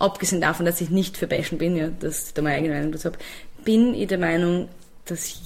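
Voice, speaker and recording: A woman speaks in an ordinary speaking voice. Her pitch variation is ordinary. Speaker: singer and music producer. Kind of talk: interview.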